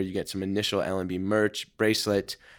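In a normal speaking voice, a man at a fairly low pitch talks at a fairly quick pace with fairly even intonation, recorded very cleanly over a silent background. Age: 20s. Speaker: entrepreneur and influencer. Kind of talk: interview conversation.

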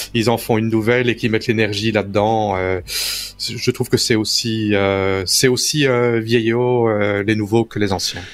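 Noticeable background noise accompanies a man speaking at a fairly slow pace in monotone, flat intonation. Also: medium pitch for a man, hardly any pauses. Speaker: tech news panelist. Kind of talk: casual chat. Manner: halting.

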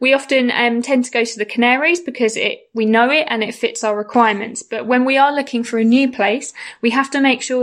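In an ordinary speaking voice, a woman talks at a fairly quick pace with fairly high pitch and fairly even intonation. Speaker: travel blogger. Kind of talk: recorded contribution about travel and mental health.

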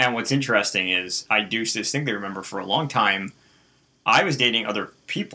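Here is a man with a plain, everyday voice at a medium pitch. He speaks at a fairly quick pace with ordinary pitch variation. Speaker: host's husband. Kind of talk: casual interview.

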